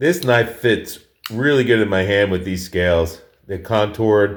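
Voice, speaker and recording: With an American accent, a man speaks at a moderate pace in a fairly low pitch with lively intonation. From New York. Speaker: knife collector, video creator. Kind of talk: casual show-and-tell. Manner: casual, with fillers and restarts.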